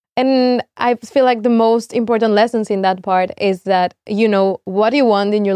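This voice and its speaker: Dry and close with no echo, the voice has a dark, mellow tone and fairly even intonation. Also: woman. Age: 20s. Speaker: podcast co-host, university student. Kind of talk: casual chat. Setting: studio.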